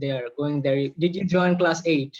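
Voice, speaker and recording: A Bengali accent at a fairly slow pace, with ordinary pitch variation. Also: man. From Bangladesh. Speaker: podcast host. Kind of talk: casual interview.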